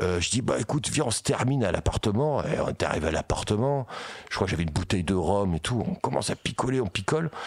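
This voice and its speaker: A man's fairly low voice at a very fast pace, with very wide pitch swings, very even loudness and noticeable background noise. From Paris region. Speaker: metal singer and illustrator. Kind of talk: casual chat.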